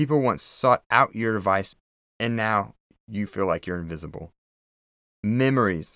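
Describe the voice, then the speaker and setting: Recorded very cleanly with a silent background, a man of medium pitch speaks at a moderate pace with ordinary pitch variation. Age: 30s. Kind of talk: solo devotional talk.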